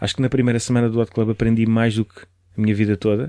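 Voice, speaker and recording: A man's medium-pitched voice, dark and mellow in tone, at a very fast pace. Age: 30s. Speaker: DJ and music producer. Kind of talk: casual interview chat.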